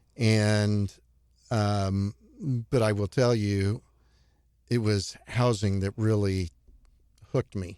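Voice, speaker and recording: Dark and mellow in tone, the voice carries an American accent and monotone, flat intonation at a very slow pace with long, frequent pauses, recorded dry and close with no echo. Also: man, fairly low pitch for a man. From US Midwest, Cape Girardeau, Missouri. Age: 60s. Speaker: retired Wall Street housing analyst. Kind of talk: podcast interview.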